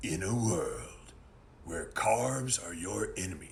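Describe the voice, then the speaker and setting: A man puts on a raspy character voice, talking fairly slowly over clear background noise. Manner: dramatic.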